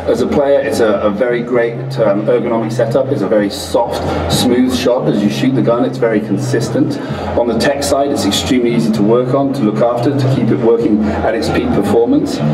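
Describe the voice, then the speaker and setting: Clear music plays in the background while a man talks at a fairly quick pace. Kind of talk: interview answer.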